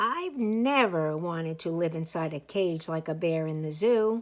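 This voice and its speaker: Putting on a character voice, a woman speaks at a fairly low pitch. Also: moderate pace. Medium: read story. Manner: wondering, wishful.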